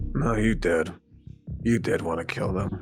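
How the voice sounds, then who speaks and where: In a raspy, put-on character voice with a very deep, low pitch, a man speaks at a moderate pace over faint background music. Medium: machinima. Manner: blunt, dismissive.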